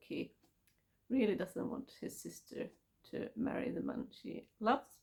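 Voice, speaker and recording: A woman talks at a fairly slow pace with vocal fry. Her pitch varies in an ordinary way. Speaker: book vlogger. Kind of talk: casual book review monologue. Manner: halting.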